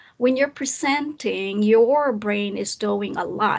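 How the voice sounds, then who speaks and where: A woman speaks very slowly with a non-native accent. Her fairly high voice has lively intonation. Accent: noticeable non-native English. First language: not English. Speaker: presentation skills coach. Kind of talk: live online talk. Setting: recorded live session. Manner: hesitant, with fillers and restarts.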